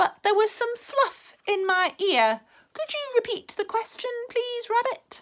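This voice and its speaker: A woman uses a squeaky put-on character voice at an extremely high pitch and a fairly slow pace. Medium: read story. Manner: slow, mild.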